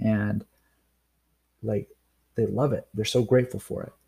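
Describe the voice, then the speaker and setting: Somewhat breathy and dark, mellow in tone, a man speaks with an American accent at a fairly quick pace. The recording is very clean, with a silent background. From North Idaho. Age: 30s. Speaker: podcast host and chiropractic student. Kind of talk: solo monologue podcast. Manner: casual, with frequent fillers.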